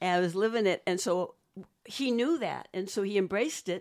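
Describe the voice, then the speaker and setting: Moderately paced speech from a woman, on a very clean recording with a silent background. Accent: slight Boston. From Boston, US. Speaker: set decorator. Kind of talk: interview conversation.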